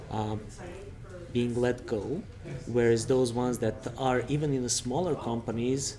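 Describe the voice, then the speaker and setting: Speaking with a Serbian accent, a man at a medium pitch keeps a moderate pace and fairly even intonation, with noticeable background noise and audible room echo. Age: 30s. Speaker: recruitment consultant. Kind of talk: interview.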